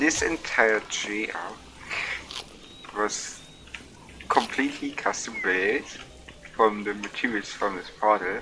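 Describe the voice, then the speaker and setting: Speaking at a very slow pace, a man has a fairly low pitch with ordinary pitch variation. Noticeable background noise is present. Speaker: gaming streamer. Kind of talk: casual gameplay commentary. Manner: quiet, soft-spoken; slurred, drunk-sounding.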